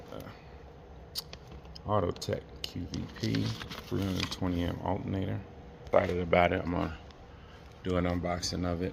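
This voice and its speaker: Amid noticeable background noise and audible room echo, a man with a very deep, low pitch and ordinary pitch variation talks at a fairly quick pace, leaving long, frequent pauses. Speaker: car mechanic vlogger. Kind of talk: casual vlog tutorial. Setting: at work.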